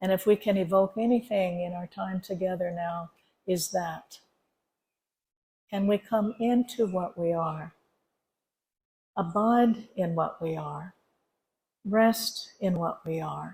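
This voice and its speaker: Pausing long and often, a woman with a medium pitch speaks at a very slow pace in a somewhat breathy, dark, mellow tone with fairly even intonation. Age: 70s. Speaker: spiritual teacher. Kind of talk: dharma talk at a retreat. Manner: conversational.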